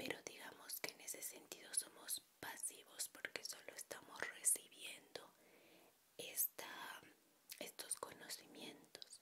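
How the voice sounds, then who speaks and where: Whispering at a very slow pace, a soft-spoken woman is heard over noticeable background noise. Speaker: educational vlogger. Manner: soft close-mic ASMR whisper. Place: home room. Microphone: handheld.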